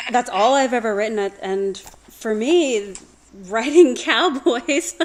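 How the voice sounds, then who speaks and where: A woman with an American accent speaks very slowly at a high pitch with lively intonation. Noticeable background noise runs underneath. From US South. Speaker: romance author. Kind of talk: casual chat.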